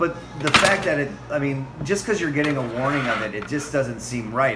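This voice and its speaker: Moderate-paced male speech, with ordinary pitch movement and music underneath. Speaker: tour guide. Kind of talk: casual conversation.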